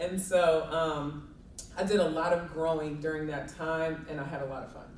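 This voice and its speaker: A woman with a slight Southern accent speaks at a very deep, low pitch in a flat monotone, her loudness swinging widely. Audible room echo and noticeable background noise fill the recording. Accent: slight southern drawl. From Kentucky, Louisville. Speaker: college sports administrator. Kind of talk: interview.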